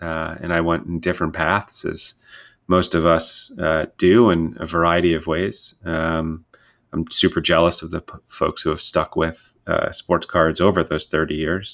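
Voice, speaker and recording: In a very clean recording with a silent background, a man with an American accent speaks very deep and low, in a monotone, flat intonation at a fairly slow pace. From US Northeast, Westchester County, New York. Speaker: podcast host, sports card collector and investor. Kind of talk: solo podcast monologue. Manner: many fillers, um and uh.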